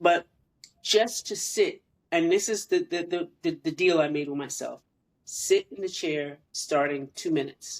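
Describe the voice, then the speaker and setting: At a fairly slow pace, a woman speaks in a plain, everyday voice with a fairly low pitch and ordinary pitch variation. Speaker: podcast co-host. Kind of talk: casual chat.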